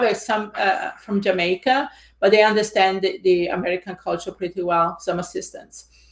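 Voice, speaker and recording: Fairly even intonation from a woman with an Italian accent, medium in pitch. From Italy. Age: 50s. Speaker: real estate investor and coach. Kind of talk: interview.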